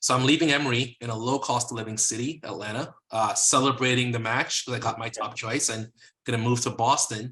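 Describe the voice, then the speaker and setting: A man at a medium pitch, fairly quick pace, with a slight Caribbean accent. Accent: slight Caribbean sing-song. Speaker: physician, lending company co-founder. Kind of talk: interview.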